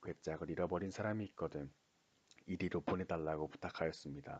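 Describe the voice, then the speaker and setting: A soft-spoken man talks in a calm tone. His very deep, low voice shows ordinary pitch variation. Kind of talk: bedtime story reading. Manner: soft-spoken, calm.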